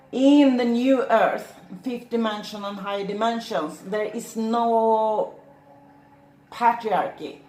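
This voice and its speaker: Audible room echo surrounds a woman with a fairly high pitch and ordinary pitch variation who speaks at a very slow pace with big swings in loudness. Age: 60s. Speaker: shaman. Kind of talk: monologue to camera. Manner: halting.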